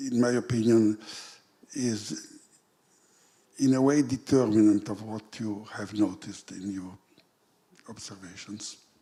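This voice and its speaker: Speaking with a non-native accent, a man with a fairly low pitch and a dark, mellow tone keeps a fairly even intonation, leaves long, frequent pauses and swings widely in loudness. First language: not English. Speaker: audience member asking a question. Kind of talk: conference Q&A question. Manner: halting.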